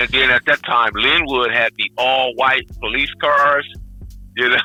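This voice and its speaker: Over music in the background, a man of medium pitch talks at a fairly slow pace in a monotone, flat delivery with very even loudness. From Los Angeles, Compton. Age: 60s. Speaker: guest. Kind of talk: interview.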